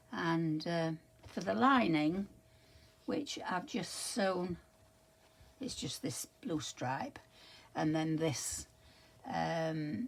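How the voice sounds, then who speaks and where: With an English accent, a woman speaks very slowly at a fairly low pitch, her pitch swinging very widely between long, frequent pauses. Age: 80s+. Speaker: crafter vlogger. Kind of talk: casual show-and-tell vlog. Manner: halting, many fillers.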